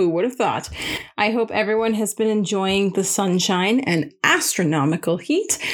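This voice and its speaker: A woman's medium-pitched voice, a plain, everyday voice, with a Canadian accent, very even loudness, ordinary pitch variation and a moderate pace, on a very clean recording with a silent background. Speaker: podcast host. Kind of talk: casual interview chat. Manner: upbeat, friendly.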